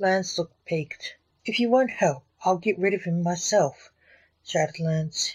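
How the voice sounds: Ordinary shifts in pitch from a natural reading voice, the background quiet.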